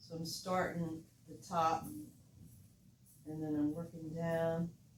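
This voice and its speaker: A woman with an American accent speaks very slowly in a relaxed tone, her fairly low voice flat and monotone, with audible room echo and noticeable background noise. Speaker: art teacher. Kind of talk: painting tutorial.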